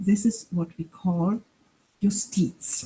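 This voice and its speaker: Speaking at a very slow pace, a woman with a German accent has a dark, mellow, somewhat breathy tone and fairly even intonation. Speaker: professor. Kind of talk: lecture.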